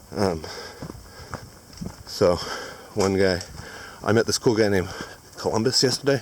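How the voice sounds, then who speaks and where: A man's very deep, low voice at a moderate pace, with ordinary pitch variation over noticeable background noise. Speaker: long-distance hiker video blogger. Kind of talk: casual vlog monologue. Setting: outdoors on a hiking trail. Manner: rambling with many fillers.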